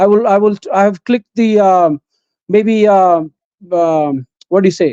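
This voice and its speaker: Speech in an Indian accent at a moderate pace. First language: Hindi. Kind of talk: live debate. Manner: halting.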